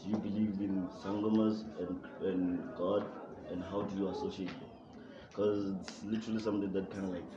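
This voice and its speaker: Over noticeable background noise, a man talks at a fairly quick pace and fairly low pitch with monotone, flat intonation. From South Africa, Limpopo. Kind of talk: group discussion.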